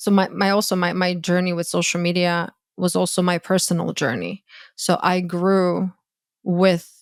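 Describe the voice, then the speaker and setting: Here a woman speaks at medium pitch. The recording is very clean, dry and close, with no echo and a silent background. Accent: Croatian. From Croatia. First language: Croatian. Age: 30s. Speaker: dating coach and content creator. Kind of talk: podcast interview. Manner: halting, many false starts.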